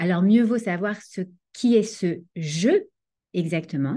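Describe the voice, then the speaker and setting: This somewhat breathy voice has a dark, mellow tone and very wide pitch swings, moving at a very slow pace over a quiet background. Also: woman. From France, Paris. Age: 40s. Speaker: Torah teacher and life coach. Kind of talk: online lecture.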